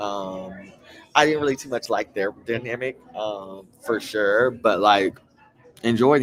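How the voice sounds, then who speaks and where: Noticeable background noise sits under a man talking with an American accent. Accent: country accent with twang. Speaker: reality TV recap vlogger. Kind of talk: casual chat. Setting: bar. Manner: animated.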